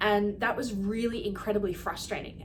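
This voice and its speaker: Her voice is medium-pitched, and this woman keeps a moderate pace. The room echo is audible, and there is noticeable background noise. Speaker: health clinic practitioner. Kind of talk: educational talk to camera.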